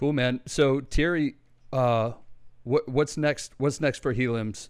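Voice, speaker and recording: A man's plain, everyday voice with an American accent, at a fairly slow pace with fairly even intonation. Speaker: podcast host. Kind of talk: casual chat, interview.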